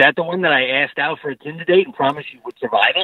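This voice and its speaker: Against a quiet background, a man with a strong Long Island accent speaks in a dry sound with no echo. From Long Island, New York. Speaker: teacher, podcast supporter calling in. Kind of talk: casual podcast banter. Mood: joking, playful. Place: studio. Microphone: handheld.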